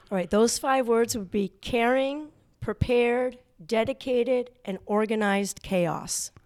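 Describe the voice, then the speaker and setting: In an American accent and a plain, everyday voice, a woman speaks at a fairly slow pace with a fairly high pitch. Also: ordinary pitch variation. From Connecticut. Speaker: middle school teacher. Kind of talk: interview.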